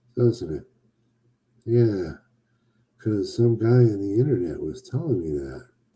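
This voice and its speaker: Speaking at a fairly slow pace with long, frequent pauses, a man has a medium-pitched, somewhat breathy voice. His tone is dark and mellow, and his intonation is lively. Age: 60s. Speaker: boudoir photographer hosting a weekly live show. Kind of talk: casual livestream monologue. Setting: live broadcast on social media. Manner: playful, jokey.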